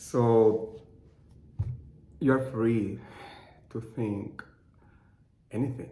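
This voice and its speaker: In a Cuban accent, a man speaks at a very slow pace in a monotone, flat intonation, with long, frequent pauses and audible room echo. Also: medium pitch for a man. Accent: noticeable Cuban Spanish. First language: Spanish. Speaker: clinical research associate. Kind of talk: personal testimony. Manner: halting.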